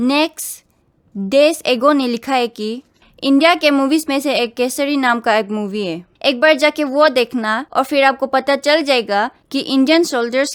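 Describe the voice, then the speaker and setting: High-pitched woman with a strong Northeast Indian accent and ordinary pitch variation, very clean recording, silent background. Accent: strong North-Eastern accent in Hindi. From Northeast India, Bodo. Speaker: YouTuber, reaction video host. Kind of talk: reading comments with commentary.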